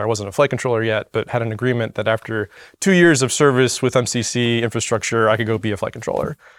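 Very fast delivery with hardly any pauses and fairly even intonation, on a very clean recording against a silent background. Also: man. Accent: American. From Florida. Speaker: flight director. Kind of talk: casual chat. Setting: studio.

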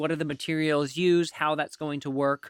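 A man speaks at a moderate pace in a bright, sharp tone with fairly high pitch. The sound is dry and close with no echo, on a very clean recording with a silent background. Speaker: podcast host. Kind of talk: interview.

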